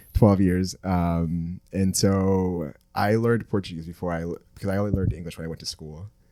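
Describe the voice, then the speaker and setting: Very deep and low in pitch with a dark, mellow tone, a man speaks at a moderate pace with fairly even intonation and hardly any pauses. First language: Spanish. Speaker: podcast co-host. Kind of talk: casual chat.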